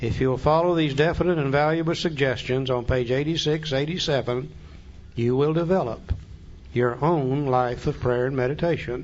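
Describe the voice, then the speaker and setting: A man talks at a moderate pace in a medium pitch. It is an ordinary speaking voice. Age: 60s. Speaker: AA speaker and Big Book study leader. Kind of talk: recovery talk teaching the Big Book.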